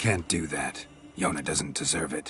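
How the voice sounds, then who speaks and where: A man puts on a raspy character voice at a moderate pace, with light background noise. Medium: video game. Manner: terse, dry.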